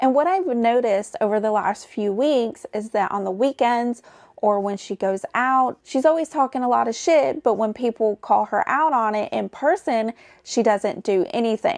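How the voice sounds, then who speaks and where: Speaking in a Southern accent, a woman with a fairly high pitch uses lively intonation at a moderate pace. The sound is dry and close with no echo, a very clean recording with a silent background. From US South. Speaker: YouTube commentator. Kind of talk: commentary narration. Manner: casual, conversational.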